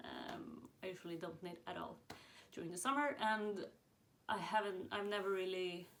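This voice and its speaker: A woman speaks fairly slowly in a Swedish accent, at a medium pitch with ordinary pitch variation. Audible room echo surrounds her voice. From Sweden. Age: 20s. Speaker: knitting podcaster. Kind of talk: casual chat. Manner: hesitant, many fillers.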